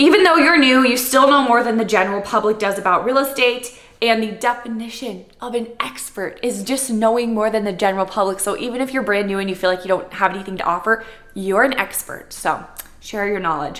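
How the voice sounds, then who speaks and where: Noticeable background noise sits behind a woman with an American accent. She talks at a fairly quick pace and a fairly high pitch. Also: ordinary pitch variation. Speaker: real estate agent. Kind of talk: Q&A vlog, reading typed answers.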